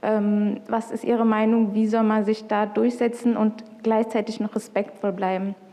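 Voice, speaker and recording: A woman speaks at a moderate pace in a fairly high, flat monotone over noticeable background noise. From Punjab, India. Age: 20s. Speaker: convert asking a question. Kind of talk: question at video meeting. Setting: video call.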